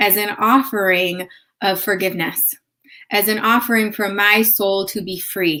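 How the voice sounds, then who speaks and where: A woman with a slight Chicago accent speaks at medium pitch and a fairly slow pace, her tone bright and sharp. Her intonation is fairly even, on a very clean recording with a silent background. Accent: slight Chicago accent on certain words. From US Midwest, north suburbs of Chicago. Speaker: yoga therapist. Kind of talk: live stream talk with personal story. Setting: live video stream. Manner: casual, conversational.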